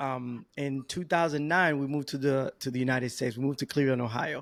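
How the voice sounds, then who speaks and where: A man with a Spanish accent, fairly high in pitch, at a moderate pace, on a very clean recording with a silent background. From Dominican Republic. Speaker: podcast guest, new father. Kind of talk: casual interview.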